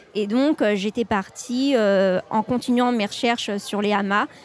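There is noticeable background noise as a woman speaks at a very slow pace. Her pitch is fairly high and her intonation fairly even. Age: 20s. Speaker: journalist. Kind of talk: interview.

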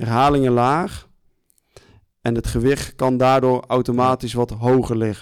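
A man's fairly slow speech in a monotone, flat intonation. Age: 20s. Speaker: gym owner and strength coach. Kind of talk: casual podcast interview. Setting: studio with small audience.

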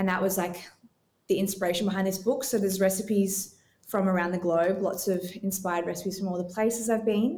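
In an Australian accent, a woman with a dark, mellow tone speaks fairly quickly at medium pitch with fairly even intonation. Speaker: dietitian and cookbook author. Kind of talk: casual interview chat.

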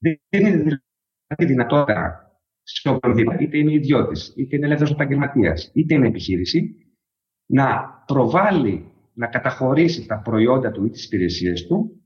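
A man's fairly high voice with very wide pitch swings and vocal fry. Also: moderate pace. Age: 40s. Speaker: startup CEO. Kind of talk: interview.

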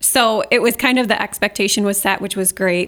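In a plain, everyday voice, a woman of medium pitch talks at a fairly quick pace with fairly even intonation. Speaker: podcast co-host. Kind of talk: casual conversational podcast chat.

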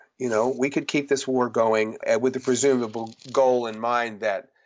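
A medium-pitched man at a moderate pace in a monotone, flat intonation. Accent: American. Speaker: author and historian. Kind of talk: interview.

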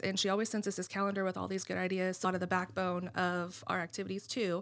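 A woman's voice at a medium pitch. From US, rural Greene County. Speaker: nursing home administrator. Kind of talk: casual interview. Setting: studio.

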